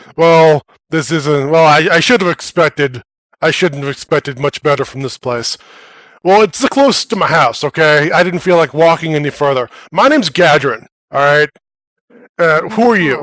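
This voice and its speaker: A man performs a put-on character voice that booms at a fairly high pitch. He keeps a moderate pace with long, frequent pauses. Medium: actual play. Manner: gruff, dismissive.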